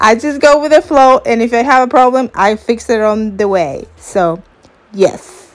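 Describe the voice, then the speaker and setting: With a non-native accent, a woman speaks fairly slowly in a fairly high pitch and lively intonation. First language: not English. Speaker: crafts YouTuber. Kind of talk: tutorial. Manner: casual, hesitant with fillers.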